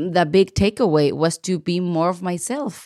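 A woman's medium-pitched, dark, mellow voice with a non-native accent, fairly slow with ordinary pitch variation, dry and close with no echo on a very clean recording with a silent background. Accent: noticeable foreign. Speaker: podcast host, artist. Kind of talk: interview podcast. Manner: animated.

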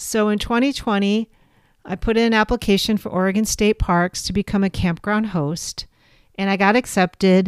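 This woman has an unremarkable speaking voice, medium in pitch with fairly even intonation, and talks at a moderate pace in a dry, close sound with no echo on a very clean recording with a silent background. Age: 50s. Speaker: podcast host. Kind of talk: casual monologue.

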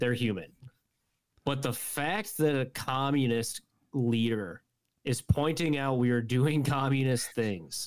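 A man speaks at a medium pitch with ordinary pitch variation. He has an ordinary speaking voice and a fairly slow pace. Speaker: guest, friend of host. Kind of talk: casual chat.

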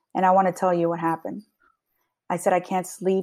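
In a very clean recording with a silent background, a woman talks fairly quickly in a medium-pitched, dark, mellow voice with monotone, flat intonation. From New Jersey, Long Branch. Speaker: police sergeant. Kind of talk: interview. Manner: casual.

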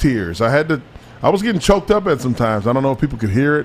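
This is a man speaking. His pitch is medium. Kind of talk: casual sports talk show. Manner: animated, emphatic.

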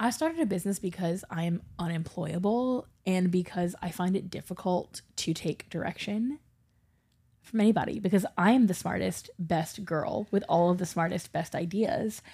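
In an American accent, the voice has a dark, mellow tone, is somewhat breathy, and moves at a moderate pace with ordinary pitch variation. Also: woman, medium pitch for a woman. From US South. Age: 30s. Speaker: podcast co-host. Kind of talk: casual chat.

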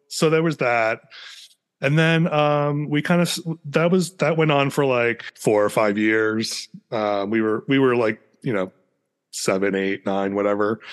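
The speaker moves at a fairly slow pace, with long, frequent pauses. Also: man. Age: 40s. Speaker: doll collector and YouTuber. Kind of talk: casual interview. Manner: halting, many fillers.

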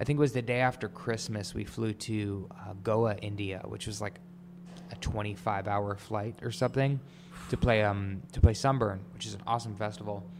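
A man with an American accent and a normal speaking voice talks at a moderate pace. His pitch is fairly low with ordinary variation, and his loudness swings widely. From New York, Long Island. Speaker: DJ, producer and songwriter. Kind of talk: casual interview. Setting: office studio.

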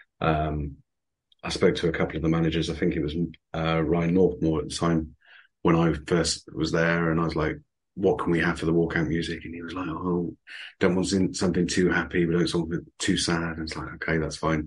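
The background is quiet as a man speaks at a fairly quick pace. His pitch is very deep and low, his intonation monotone and flat. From Somerset, England. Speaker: stadium announcer. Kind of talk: casual interview chat.

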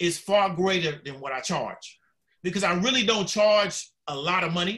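A man talks at a moderate pace with an American accent. His pitch is high. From Florida, Orlando. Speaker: marketing expert. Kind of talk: casual chat.

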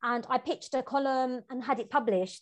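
Against a quiet background, a woman with a London accent speaks at a high pitch. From East London, England. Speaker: novelist and travel writer. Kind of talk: interview conversation.

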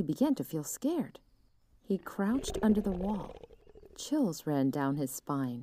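The voice is plain reading aloud. Nothing more is marked.

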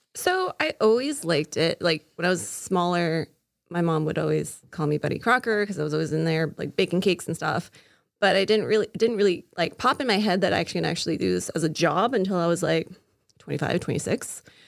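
Speaking very fast with vocal fry, a woman uses a fairly low pitch and ordinary pitch variation on a very clean recording with a silent background. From Florida (Castleberry). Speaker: pastry chef. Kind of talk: casual chat.

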